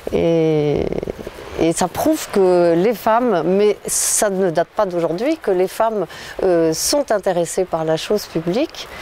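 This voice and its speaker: The speech moves at a very slow pace with very even loudness and ordinary pitch variation, over noticeable background noise. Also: woman, medium pitch for a woman. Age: 60s. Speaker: local election candidate. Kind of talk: interview. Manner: hesitant, many fillers.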